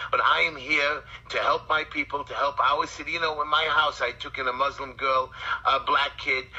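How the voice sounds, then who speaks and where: The speaker has a Brooklyn accent and a moderate pace. Noticeable background noise is present. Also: man. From New York, Brooklyn. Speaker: community activist and city council candidate. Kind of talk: interview. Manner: animated.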